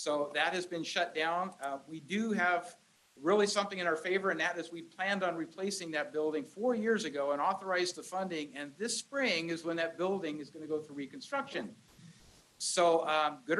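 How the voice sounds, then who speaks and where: Loud and high-pitched, a man talks at a fairly quick pace. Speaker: county supervisor. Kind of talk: public meeting address. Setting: community meeting room with crowd.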